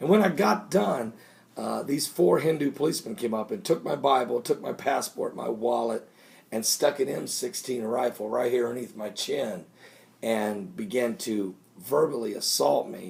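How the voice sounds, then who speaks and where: A man puts on a raspy character voice. He speaks at a moderate pace in a medium pitch. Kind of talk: evangelical preaching. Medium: solo performance. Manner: excited, rambling, repeating himself.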